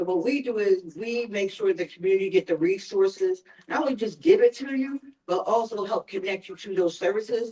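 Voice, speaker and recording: A woman speaks with an American accent in a dark, mellow tone. Her pitch varies in an ordinary way. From North Philadelphia. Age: old. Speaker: mental health outreach worker. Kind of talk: town hall presentation. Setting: church town hall with audience. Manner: animated.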